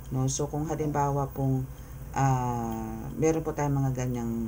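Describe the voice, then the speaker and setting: Soft-spoken, a man talks here. Room echo is audible. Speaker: tarot reader. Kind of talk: tarot reading.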